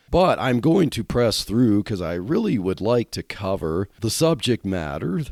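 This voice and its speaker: A dark, mellow voice moves through very wide pitch swings on a very clean recording with a silent background. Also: man, dry, close sound with no echo. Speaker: podcast host. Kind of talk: casual monologue.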